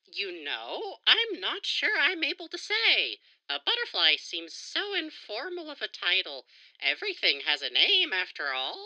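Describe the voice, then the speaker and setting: At a moderate pace, a woman uses a put-on character voice pitched extremely high. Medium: audio drama. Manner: polite, soft-spoken.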